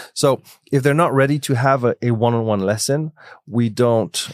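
A man with a French accent talks with ordinary pitch variation on a very clean recording with a silent background. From Switzerland, France and Belgium. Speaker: music conservatory founder. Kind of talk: interview conversation.

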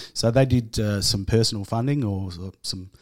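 On a very clean recording with a silent background, a man with an Australian accent speaks at a fairly low pitch with ordinary pitch variation. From Tasmania, west coast. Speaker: homeless shelter manager. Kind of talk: casual interview. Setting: studio.

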